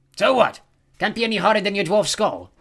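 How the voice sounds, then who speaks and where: A man puts on a character voice. It sits high in pitch for a man. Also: fairly quick pace. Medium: read story. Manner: sneering, menacing.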